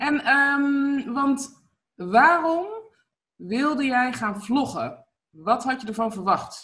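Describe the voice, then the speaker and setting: A woman's high, bright, sharp voice at a very slow pace, with ordinary pitch variation. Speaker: online video coach and interviewer. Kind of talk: casual interview. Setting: video call. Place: home room. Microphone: webcam.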